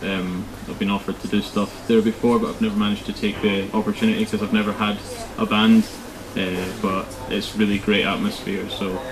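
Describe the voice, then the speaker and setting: Over noticeable background noise, a man speaks fairly quickly in a fairly low, monotone, flat voice. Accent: Scottish. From Scotland, Crieff. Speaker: rock band drummer. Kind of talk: casual interview.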